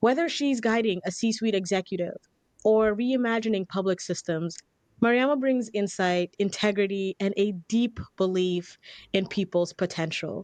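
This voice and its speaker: With a plain, everyday voice, a woman speaks at a moderate pace and medium pitch, with ordinary pitch variation and very even loudness, in a dry, close sound with no echo over a quiet background. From immigrant to US as young child. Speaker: podcast host and communication coach.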